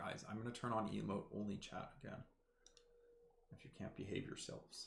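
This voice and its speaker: At a fairly quick pace, a man speaks with vocal fry, a fairly low pitch and fairly even intonation. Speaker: esports caster. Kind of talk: live commentary. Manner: casual, joking.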